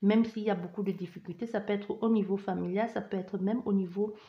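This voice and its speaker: Delivery is at a fairly quick pace with monotone, flat intonation. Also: woman. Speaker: tarot card reader. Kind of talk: psychic reading. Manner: fast; barely pausing for breath.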